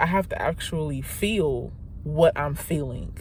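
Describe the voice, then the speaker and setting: A woman is speaking. Her pace is fairly slow. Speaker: vlogger. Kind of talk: casual vlog monologue. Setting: in a car. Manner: halting, self-correcting.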